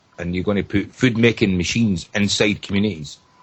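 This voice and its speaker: A somewhat breathy voice in a Scottish accent at a moderate pace, with ordinary pitch variation. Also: man. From Scotland, Edinburgh area. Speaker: caller. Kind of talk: casual chat.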